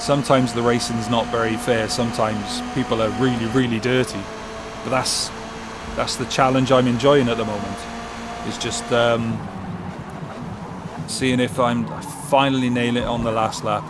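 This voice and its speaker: A man with a Welsh accent speaks at medium pitch and a moderate pace, leaving long, frequent pauses, with audible room echo and noticeable background noise. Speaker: sim racing gamer. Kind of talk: gameplay commentary. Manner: animated.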